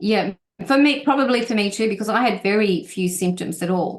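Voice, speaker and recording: A woman with an Australian accent, medium in pitch, at a moderate pace with ordinary pitch variation. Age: 60s. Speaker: health and wellness guest speaker. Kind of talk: online presentation. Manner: halting, many fillers.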